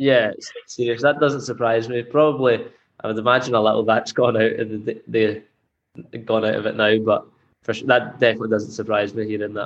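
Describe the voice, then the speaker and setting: A man with a west of Scotland accent at a medium pitch, fairly quick and in a flat monotone. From Scotland, Greenock (west of Scotland). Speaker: professional footballer. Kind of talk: interview.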